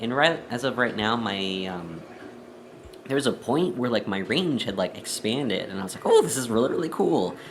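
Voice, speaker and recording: Over noticeable background noise and audible room echo, a man talks at a moderate pace with lively intonation. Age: 20s. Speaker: vlogger. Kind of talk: personal vlog. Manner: hesitant, many fillers.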